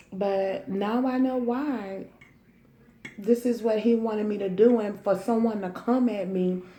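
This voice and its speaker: Audible room echo hangs around this recording. The speaker is a woman with a fairly high pitch. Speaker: vlogger and youth care worker. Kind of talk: casual chat. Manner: animated.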